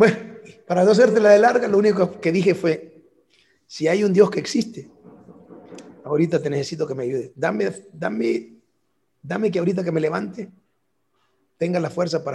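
A man talks at a fairly quick pace in a high-pitched voice, with lively intonation. Long, frequent pauses break up his speech. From El Salvador, San Salvador area; moved to Los Angeles at 11. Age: 50s. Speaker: national football team coach, former player. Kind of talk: interview.

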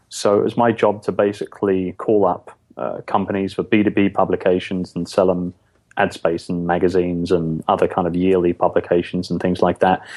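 A man's very deep, low voice in a London accent, flat and monotone at a moderate pace. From London, England. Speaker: podcast guest, business owner.

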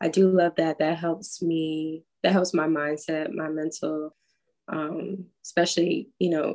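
Someone speaks with an American accent at a fairly slow pace. The intonation stays fairly even. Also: woman. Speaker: pop funk singer-songwriter. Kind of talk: casual interview chat. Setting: video call.

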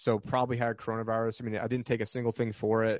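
A man with an American accent at a very fast pace, fairly low in pitch, with a dry, close sound, no echo and a quiet background. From New York. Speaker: finance commentator. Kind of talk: interview.

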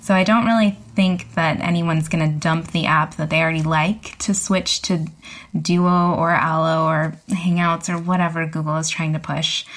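The pace is moderate and the intonation fairly even. The voice sounds somewhat breathy. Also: woman, fairly low pitch for a woman. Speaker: tech journalist. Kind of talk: casual panel discussion.

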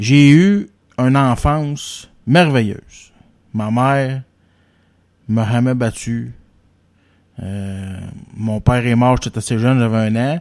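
Speaking in a Quebec accent at a very slow pace, a man uses a medium-pitched voice with ordinary pitch variation and long, frequent pauses. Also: very clean recording, silent background. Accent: Quebec French, informal joual. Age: 30s. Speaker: podcast host. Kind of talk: casual chat.

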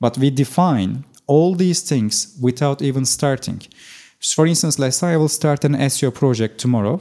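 Recorded very clean against a silent background, a man with a fairly high pitch and a dark, mellow tone speaks at a moderate pace with ordinary pitch variation and very even loudness. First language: Turkish. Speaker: SEO expert. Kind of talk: casual interview.

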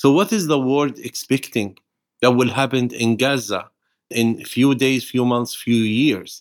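A man speaks with an Arabic accent at a medium pitch and a fairly slow pace. The recording is very clean, with a silent background. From Palestine. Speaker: nonviolence activist. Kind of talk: interview.

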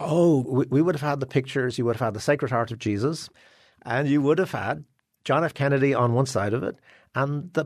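Over a quiet background, a man talks at a fairly quick pace with a medium pitch and ordinary pitch variation. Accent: Dublin. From Ireland, Dublin. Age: 60s. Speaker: newspaper columnist and author. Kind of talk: interview.

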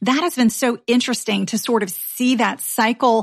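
A woman talks in an unremarkable speaking voice at a fairly high pitch. Her pace is moderate. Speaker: personal finance podcast host. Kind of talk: casual chat.

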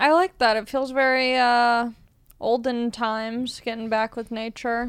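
A woman with an American accent and a high pitch speaks at a fairly slow pace in a very clean recording with a silent background. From Long Beach, California. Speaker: comedian. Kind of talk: casual chat.

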